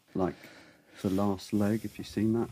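Speaking at a moderate pace with a British accent, a man has a fairly low pitch and a dark, mellow tone. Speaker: podcast co-host. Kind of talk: casual podcast chat.

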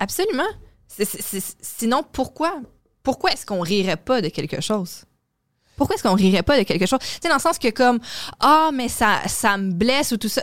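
Long, frequent pauses and very wide pitch swings in a woman's fairly high voice. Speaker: comedy booking agency coordinator and podcast co-host. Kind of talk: casual chat.

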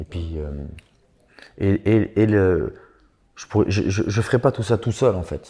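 Very deep and low, this man's voice has a dark, mellow tone and sounds somewhat breathy. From eastern France, Franche-Comté. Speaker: rapper. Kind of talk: interview.

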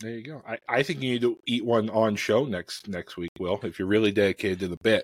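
A man with an American accent and an unremarkable speaking voice talks at a fairly quick pace with hardly any pauses, big swings in loudness, ordinary pitch variation and a fairly low pitch, in a dry, close sound with no echo. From US Midwest, Chicago. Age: middle-aged. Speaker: cookbook author and engineer. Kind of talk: casual chat. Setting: online live stream.

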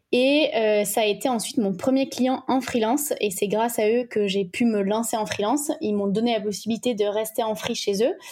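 Over noticeable background noise, a woman talks at a moderate pace with hardly any pauses. Her pitch varies in an ordinary way. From French Alps (ski resort village). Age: 20s. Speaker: communication agency owner. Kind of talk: casual interview.

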